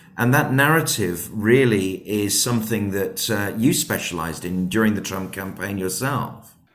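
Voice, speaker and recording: A man with a British accent speaks at a fairly low pitch. His pace is moderate, with hardly any pauses. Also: ordinary pitch variation. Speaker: podcast host. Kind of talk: interview.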